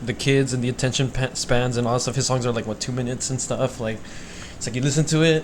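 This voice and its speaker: A quiet man at a medium pitch, fairly quick in pace, with monotone, flat intonation and noticeable background noise. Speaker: podcast host. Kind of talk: casual chat. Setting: recording with mics. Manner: quiet, has to speak up.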